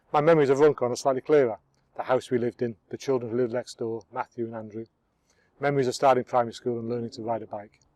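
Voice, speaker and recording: A man at medium pitch talks very fast with fairly even intonation and big swings in loudness. The sound is dry and close with no echo. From northern England. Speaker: filmmaker narrating own life. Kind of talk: scripted narration.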